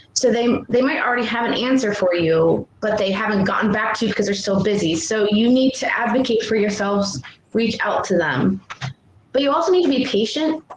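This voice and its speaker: Over noticeable background noise, the voice moves at a fairly quick pace with lively intonation and very even loudness. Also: woman. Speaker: workshop presenter, abuse survivor. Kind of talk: online workshop presentation. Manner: fast.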